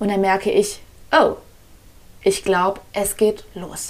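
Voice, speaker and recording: This woman's voice has a medium pitch. She talks very slowly. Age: 30s. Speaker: podcast host and breathwork coach. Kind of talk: solo podcast monologue. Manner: animated.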